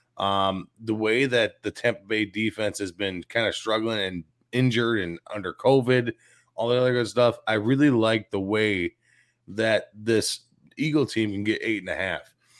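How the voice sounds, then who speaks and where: In a very clean recording with a silent background and a dry, close sound with no echo, a man with a Chicago accent talks at a medium pitch and a moderate pace. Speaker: sports radio co-host. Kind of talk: sports talk show. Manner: animated.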